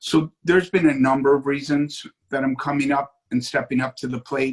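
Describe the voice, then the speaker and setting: An ordinary speaking voice from a man at medium pitch, moderate pace, dry and close with no echo. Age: 60s. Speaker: city commission candidate. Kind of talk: political interview.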